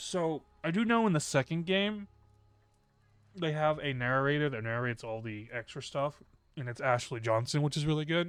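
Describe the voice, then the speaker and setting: A man speaks at a moderate pace with a fairly high pitch and lively intonation. He leaves long, frequent pauses. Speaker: game streamer. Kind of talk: gameplay stream commentary with reading aloud.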